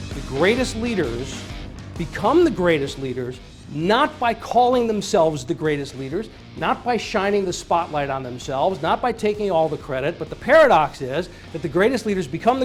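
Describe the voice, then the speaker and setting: With music playing in the background, a man talks in a high pitch with lively intonation. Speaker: leadership keynote speaker. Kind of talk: keynote speech to an audience.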